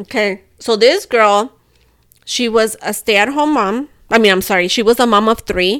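A woman talks in an animated tone with ordinary pitch variation. Her pace is moderate. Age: 30s. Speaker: podcast co-host, stay-at-home mom. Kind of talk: casual chat.

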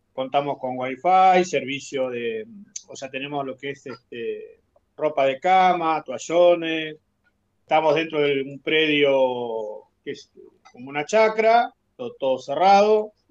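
Speaking very slowly, a man with a fairly high pitch shows big swings in loudness. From Argentina, Patagonia (Caleta Olivia). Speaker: retired oil worker, cabin owner. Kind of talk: interview.

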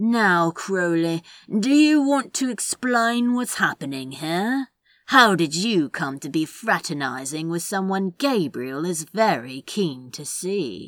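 In a put-on character voice, a female-sounding speaker at a middle pitch makes very wide pitch swings at a fairly slow pace, in a very clean recording with a silent background. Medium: read story. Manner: calm, cold.

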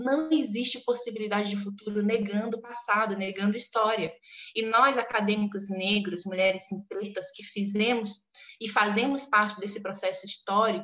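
Her fairly high-pitched voice moves at a moderate pace with ordinary pitch variation as this woman talks. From Brazil, southeastern Pará. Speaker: literature teacher and academic. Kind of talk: podcast interview. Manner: animated.

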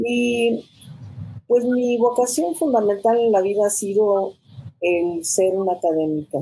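With a dark, mellow tone, a woman speaks at medium pitch and a fairly slow pace, her pitch swinging very widely while her loudness stays very even. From Mexico, city of Guanajuato. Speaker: university professor and rector candidate. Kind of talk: panel discussion.

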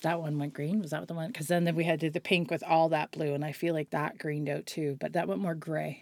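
In a Nova Scotian accent, a woman talks at a very fast pace with a very deep, low pitch. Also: fairly even intonation, hardly any pauses. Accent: Nova Scotian Canadian English. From Nova Scotia, Canada. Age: 40s. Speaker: hairstylist. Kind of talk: casual chat.

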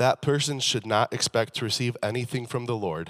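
This man has a normal speaking voice with ordinary pitch variation and talks at a moderate pace. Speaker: preacher. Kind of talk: sermon. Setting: church with congregation. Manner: humorous, casual.

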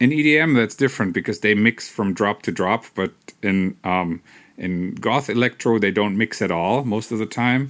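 A man's fairly low voice with a German accent, moderate pace and ordinary pitch variation, on a very clean recording with a silent background. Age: 40s. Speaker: electronic musician. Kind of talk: casual solo monologue. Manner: halting.

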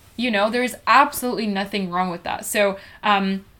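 A woman at a medium pitch and moderate pace, with lively intonation and noticeable background noise. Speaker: podcast co-host. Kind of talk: casual religious discussion.

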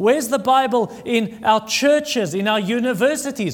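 Pitched extremely high for a man, his voice shows ordinary pitch variation, with audible room echo and noticeable background noise. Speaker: pastor. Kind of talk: sermon.

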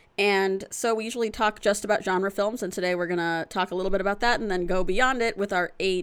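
This woman, with an American accent and a plain, everyday voice, speaks fairly quickly at a medium pitch with fairly even intonation. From Florida. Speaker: film podcast co-host. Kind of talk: casual chat.

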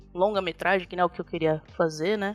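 The delivery runs at a very fast pace. Pitch variation stays ordinary. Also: woman. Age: 30s. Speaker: game artist. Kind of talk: interview. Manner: casual, laughs often.

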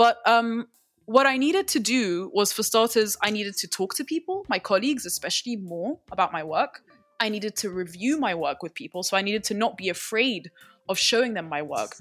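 Music plays in the background as a woman talks fairly quickly, her intonation lively. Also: fairly high pitch for a woman, dry, close sound with no echo. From UK, moved to Egypt at 12. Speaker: philosophy PhD student. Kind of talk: interview.

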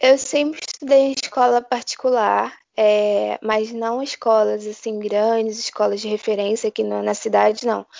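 A woman with an ordinary speaking voice talks at a fairly high pitch and a fairly slow pace. She uses hardly any pauses and keeps her intonation fairly even. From Brazil, Rio de Janeiro. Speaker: medical student. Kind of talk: interview.

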